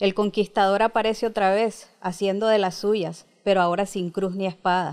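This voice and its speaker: With a Nicaraguan accent, a woman speaks at a moderate pace and fairly even intonation over a quiet background. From Managua, Nicaragua. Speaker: poet. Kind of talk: interview with poem reading. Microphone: handheld.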